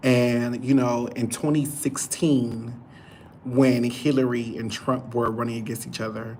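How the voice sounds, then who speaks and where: Noticeable background noise is present. The speaking pace is moderate. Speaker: YouTube livestreamer. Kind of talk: solo livestream chat.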